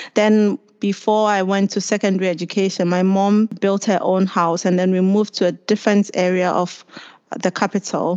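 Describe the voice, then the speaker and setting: At a medium pitch and a moderate pace, a woman speaks in a monotone, flat intonation with very even loudness. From Ghana, Accra. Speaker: podcast guest. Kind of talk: casual chat.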